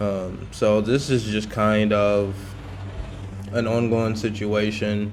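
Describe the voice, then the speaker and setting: The man's voice sits fairly low, with ordinary pitch variation. Room echo is audible. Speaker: yard cleanup vlogger. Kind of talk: video narration. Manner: halting; casual.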